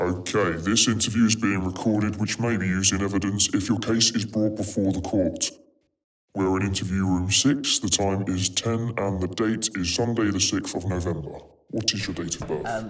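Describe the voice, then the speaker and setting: A man speaks at a moderate pace. His pitch is fairly low. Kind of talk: police interview procedure. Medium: short film. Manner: calm, formal, coldly menacing.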